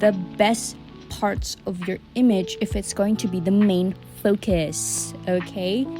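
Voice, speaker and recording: With music in the background, a woman speaks at a very slow pace in a non-native accent. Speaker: digital artist. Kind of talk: tutorial voice-over. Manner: casual, rambling.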